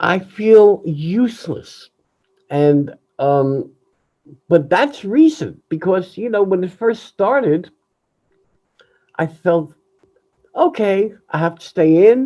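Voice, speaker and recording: Very slow and broken by long, frequent pauses, a man's high-pitched voice has a dark, mellow tone and lively intonation. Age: 70s. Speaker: jazz musician. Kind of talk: candid personal monologue.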